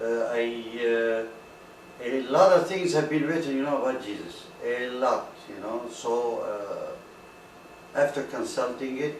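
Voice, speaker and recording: Over noticeable background noise and audible room echo, a man speaks at a very slow pace with medium pitch and ordinary pitch variation. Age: 60s. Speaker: retired auto industry worker giving religious talk. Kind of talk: informal lecture. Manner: halting, many fillers.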